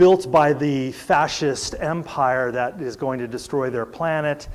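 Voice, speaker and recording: Delivered at a fairly slow pace, this plain, everyday voice carries an American accent and ordinary pitch variation. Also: man, fairly high pitch for a man. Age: 60s. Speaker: preacher. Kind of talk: sermon. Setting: church service.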